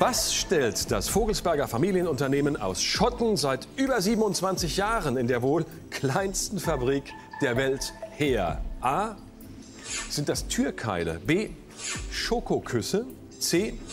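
Over clear background music, a man with a fairly high pitch speaks at a very slow pace, his pitch swinging very widely between long, frequent pauses. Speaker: quiz show host. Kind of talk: TV quiz show hosting. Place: studio. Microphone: lapel.

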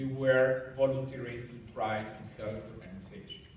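At a moderate pace, a man speaks at medium pitch with audible room echo and light background noise. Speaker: engineering society president. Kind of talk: farewell speech. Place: hall. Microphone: camera far.

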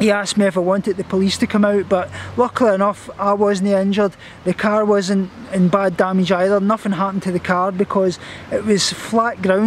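Over light background noise, a man holds a high pitch and very even loudness, his delivery monotone and flat in a dry sound with no echo. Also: fairly quick pace. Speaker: vlogger. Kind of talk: casual vlog chat. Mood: shaken, nervous. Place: garden. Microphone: phone near.

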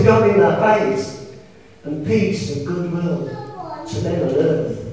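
A man speaks with very wide pitch swings. Strong room echo surrounds his voice. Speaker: preacher. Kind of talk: sermon. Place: church.

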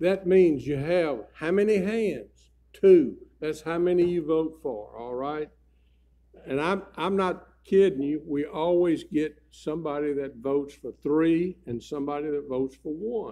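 A man speaks at a fairly slow pace in a dark, mellow tone with ordinary pitch variation over a quiet background. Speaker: church pastor. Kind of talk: church announcements. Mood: light, joking. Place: church. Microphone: podium.

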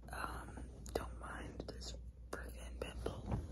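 Loud background noise sits under speech delivered at a very slow pace. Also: woman. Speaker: ASMR creator. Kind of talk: ASMR whisper ramble, casual talk to camera. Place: home room. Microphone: phone near.

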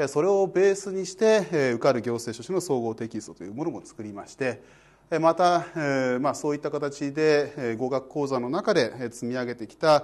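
At a moderate pace, a man with a fairly high pitch speaks with lively intonation and big swings in loudness. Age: 40s. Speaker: law exam prep lecturer; exam prep instructor. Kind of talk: self-introduction talk to exam students; lecture. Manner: casual filler-heavy delivery. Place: studio. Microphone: lapel.

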